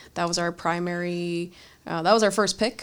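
In a very clean recording with a silent background, a woman speaks at a fairly low pitch in a monotone, flat way. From Los Angeles, California. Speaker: Marine Corps officer and computer science graduate student. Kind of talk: casual interview.

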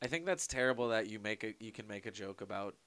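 A man with an American accent speaks fairly quickly at medium pitch, his tone bright and sharp and his pitch varying normally. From Long Beach, California. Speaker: podcast producer. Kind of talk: casual chat.

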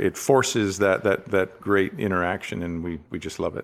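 A man with a Western Canadian accent speaks at a fairly quick pace and fairly low pitch. His pitch variation is ordinary, and the recording is very clean with a silent background. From Canada, Richmond, British Columbia. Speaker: business executive. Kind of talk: interview.

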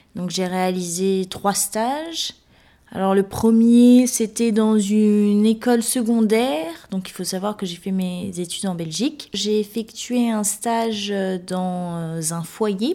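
Very slow and dark, mellow in tone, a woman's voice sits at medium pitch with ordinary pitch variation. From Guinea (Guinean heritage). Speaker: specialized educator. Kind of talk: interview testimony. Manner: halting, frequent hesitations.

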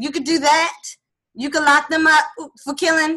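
A bright, sharp tone in a raised, projected voice with an American accent. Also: woman. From DMV area (Washington DC region). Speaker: author and former singer. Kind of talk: interview. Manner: passionate, heated at times.

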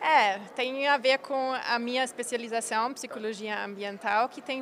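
The speech comes in a German accent with fairly even intonation. The pace is fairly slow. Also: woman. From Germany. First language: German (speaking Portuguese). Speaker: environmental psychologist. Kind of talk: interview. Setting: conference event. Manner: halting.

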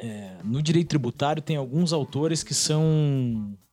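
A fairly high-pitched man with music in the background. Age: 30s. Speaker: law professor. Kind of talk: casual podcast discussion, explanatory.

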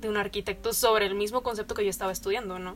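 Flat and monotone, a woman at medium pitch speaks at a very fast pace. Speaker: civil engineering graduate. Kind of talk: casual chat.

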